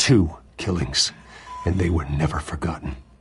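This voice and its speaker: This put-on character voice has an intense tone and ordinary pitch variation. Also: man, very deep, low pitch for a man, moderate pace. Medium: video game. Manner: restrained, intense.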